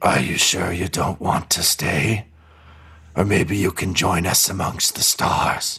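A man puts on a character voice that is raspy and very deep, low in pitch. He speaks at a fairly slow pace. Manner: eerie, inviting.

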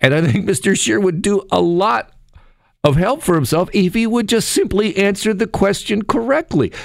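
The intonation is lively. The loudness stays very even. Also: man, high pitch for a man, moderate pace, very clean recording, silent background. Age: 50s. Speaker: radio host. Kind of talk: talk radio monologue. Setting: studio. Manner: animated.

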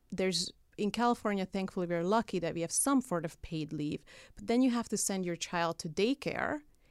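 In a very clean recording with a silent background and a dry, close sound without echo, a woman with a Hungarian accent talks at a fairly quick pace, her medium pitch carrying lively intonation. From Hungary. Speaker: political activist. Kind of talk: casual interview. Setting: studio.

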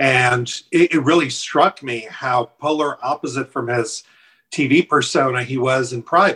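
The man's tone is bright and sharp. He speaks at a very slow pace. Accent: North American. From Ukraine. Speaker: former government official and political advertiser. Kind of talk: interview. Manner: halting, repeats words.

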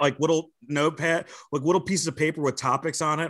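With a bright, sharp tone, this voice carries a New York accent against a quiet background. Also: man. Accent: New York area American. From New Jersey and Westchester, New York. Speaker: comedian and wrestling commentator. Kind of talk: casual chat.

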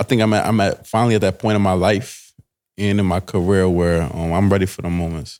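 Very clean and silent in the background, the recording has a man speaking at a fairly quick pace with a very deep, low pitch and fairly even intonation. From New Jersey. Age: 20s. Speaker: professional boxer. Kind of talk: casual interview.

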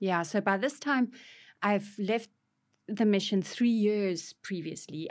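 A woman with a South African accent and ordinary pitch variation. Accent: South African Afrikaans. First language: Afrikaans. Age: 50s. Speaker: author. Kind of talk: interview testimony. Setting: studio.

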